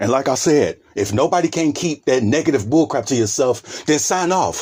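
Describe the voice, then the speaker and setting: A man talks at a fairly quick clip in a fairly high pitch, with vocal fry and very wide swings in pitch. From US Midwest, Cincinnati, Ohio. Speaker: vlogger. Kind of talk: casual monologue vlog. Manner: halting, stumbling over words.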